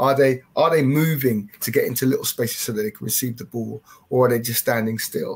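A man with an English accent talks at a fairly quick pace and a medium pitch. The voice is somewhat breathy. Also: ordinary pitch variation. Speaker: football coach and development officer. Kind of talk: webinar discussion. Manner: chatty, halting, self-correcting. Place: home room. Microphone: headset.

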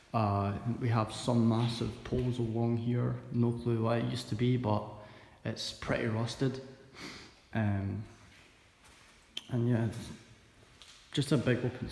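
Audible room echo surrounds a man speaking at a fairly slow pace with long, frequent pauses. His intonation is monotone and flat. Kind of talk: casual vlog chat. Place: factory. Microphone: phone near.

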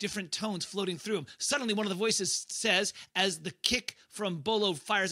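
The intonation stays fairly even. It's an unforced reading voice.

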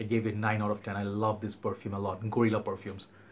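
Over light background noise, a man talks at a fairly quick pace in a somewhat breathy voice with monotone, flat intonation. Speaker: fragrance reviewer. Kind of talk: casual vlog chat. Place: home room.

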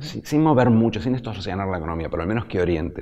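Speaking at a very fast pace, a man uses lively intonation in a fairly low pitch with a dark, mellow tone. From Argentina. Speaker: economist; guest. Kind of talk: interview. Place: studio.

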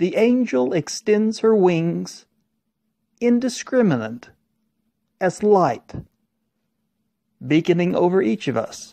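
Against a quiet background, a man with an American accent speaks very slowly in a dark, mellow, high-pitched voice that makes very wide pitch swings. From Oklahoma, Tulsa. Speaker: poet. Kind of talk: poetry reading.

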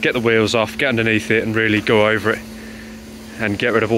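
A man talks at a fairly quick pace, the sound dry with no echo and light background noise. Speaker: car owner vlogger. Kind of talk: casual vlog chat. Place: street. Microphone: phone near.

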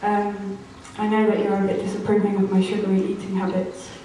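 Strong room echo along with light background noise. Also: woman. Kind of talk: live performance speech. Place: hall.

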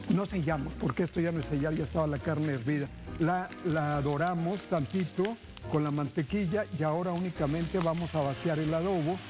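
A man talks at a moderate pace with ordinary pitch variation while clear music plays in the background. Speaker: TV cooking show host. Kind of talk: cooking show presenting, addressing viewers. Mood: grateful, celebratory. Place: studio. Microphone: lapel.

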